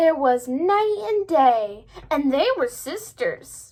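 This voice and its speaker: A woman uses a put-on character voice at an extremely high pitch. Her pitch swings very widely at a very slow pace. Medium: read story.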